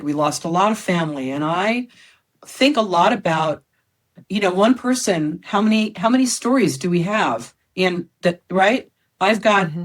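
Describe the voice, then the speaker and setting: On a very clean recording with a silent background, a woman with an American accent speaks in a plain, everyday voice at a medium pitch, with lively intonation and a moderate pace. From United States. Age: 60s. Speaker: storyteller and comedian. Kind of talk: podcast interview answer.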